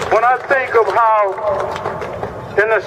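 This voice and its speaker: Amid noticeable background noise, a man talks at a fairly slow pace with fairly even intonation. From Mississippi. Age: 60s. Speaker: activist and veteran. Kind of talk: rally speech. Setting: outdoor rally at the Capitol. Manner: impassioned.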